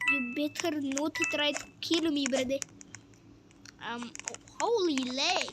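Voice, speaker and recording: A woman's high, raised, projected voice at a very slow pace, with long, frequent pauses over noticeable background noise. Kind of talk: casual gameplay commentary.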